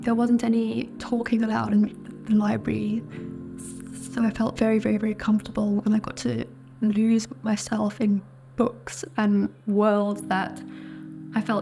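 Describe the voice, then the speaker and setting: With music in the background, a woman speaks at a medium pitch and a fairly slow pace. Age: 30s. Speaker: vlogger. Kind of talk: personal testimony. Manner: halting.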